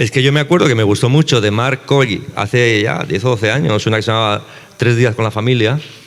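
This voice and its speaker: With lively intonation, a man talks at a fairly quick pace and a medium pitch against noticeable background noise. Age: 60s. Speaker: novelist. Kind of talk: panel conversation.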